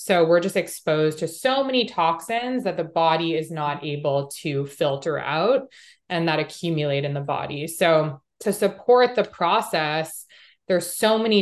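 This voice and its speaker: This woman has a plain, everyday voice, pitched fairly low, speaking at a moderate pace with lively intonation against a quiet background. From Canada, Montreal. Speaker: holistic health coach. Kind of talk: interview.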